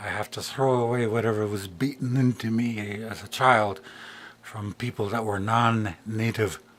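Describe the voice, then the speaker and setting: An ordinary speaking voice keeps fairly even intonation and a moderate pace. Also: man, medium pitch for a man. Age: 50s. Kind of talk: casual spiritual talk to camera.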